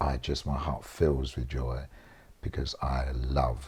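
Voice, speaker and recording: In a South London accent, a man with a very deep, low pitch speaks at a very slow pace in a monotone, flat intonation. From South East London. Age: 60s. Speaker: interviewee. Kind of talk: casual interview.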